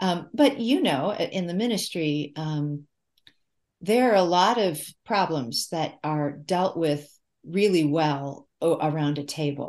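A woman speaks in an ordinary speaking voice at a fairly low pitch and fairly slow pace. Her intonation is lively against a quiet background. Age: 60s. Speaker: author and former English professor. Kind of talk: podcast interview.

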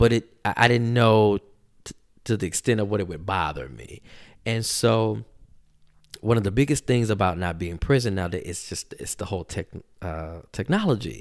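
In a very clean recording with a silent background, a man speaks at a moderate pace with a fairly low pitch, vocal fry and lively intonation. His loudness swings widely, and he leaves long, frequent pauses. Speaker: podcast host. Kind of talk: casual solo commentary. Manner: filler-heavy, with frequent ums.

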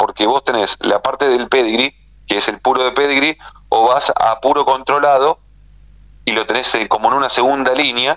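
Here a man speaks at medium pitch and a moderate pace. His is an unremarkable speaking voice. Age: 40s. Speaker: livestock journalist. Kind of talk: radio interview.

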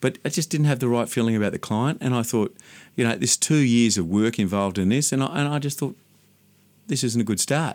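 Someone with an Australian accent talks at a very fast pace, with ordinary pitch variation and very even loudness. The recording is very clean and the background silent. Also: man, medium pitch for a man. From Sydney, Australia (western suburbs). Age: 50s. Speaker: landscape gardener. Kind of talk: interview. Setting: studio.

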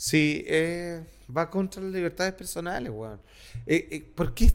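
A man speaks at a high pitch with lively intonation. His loudness takes big swings. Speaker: podcast co-host. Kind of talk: casual chat.

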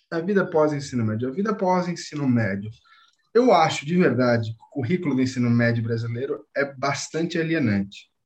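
A somewhat breathy, fairly high-pitched man's voice at a fairly quick pace with lively intonation. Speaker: former Waldorf student, university student. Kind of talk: casual chat.

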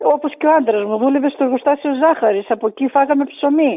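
A woman speaks at a moderate pace in a high voice whose pitch swings very widely. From Greece, Thrace. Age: 60s. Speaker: grandmother. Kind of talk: interview.

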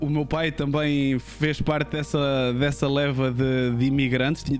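Noticeable background noise is present. Over it, a man talks at a fairly high pitch. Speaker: streamer talk show host. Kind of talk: interview conversation. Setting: home studio, livestream.

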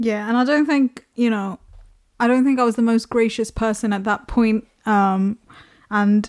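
A woman with a plain, everyday voice speaks at a moderate pace, fairly high in pitch and fairly even in intonation, on a very clean recording with a silent background. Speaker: podcast host. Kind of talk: casual chat.

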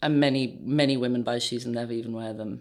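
At a fairly quick pace, a woman speaks in a very deep, low pitch with monotone, flat intonation. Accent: RP. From England, London. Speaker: footwear designer. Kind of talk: interview.

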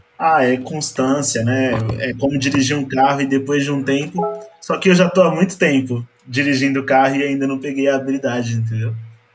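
With music in the background, a man talks at a fairly quick pace in a fairly high pitch with fairly even intonation. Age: 20s. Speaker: tax inspector, church photographer. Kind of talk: casual chat.

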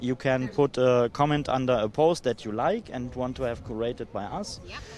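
The speaker has a normal speaking voice and a fairly slow pace. Pitch variation is ordinary. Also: man. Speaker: blockchain project presenter. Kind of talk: casual interview chat. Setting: outdoors at a conference.

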